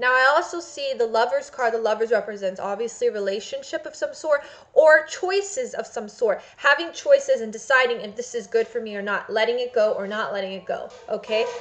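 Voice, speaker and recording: A woman talks at a fairly quick pace with hardly any pauses and big swings in loudness. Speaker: psychic tarot reader. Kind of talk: tarot reading for a client. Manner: fast; hesitant, many fillers.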